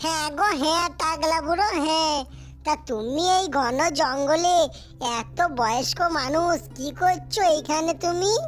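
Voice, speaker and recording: A female-sounding, cartoonish character voice at extremely high pitch speaks at a fairly slow pace. The background is clear of noise. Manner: playful, teasing.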